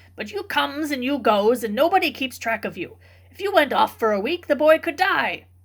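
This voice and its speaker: Putting on a character voice, a woman speaks high-pitched at a fairly quick pace. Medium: read story. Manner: plain-spoken, rustic.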